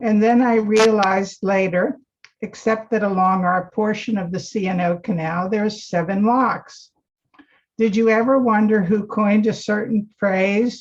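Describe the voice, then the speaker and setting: A woman talks in a plain, everyday voice. Her pace is fairly slow. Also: fairly high pitch for a woman, fairly even intonation. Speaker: cookbook author and lecturer. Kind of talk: lecture.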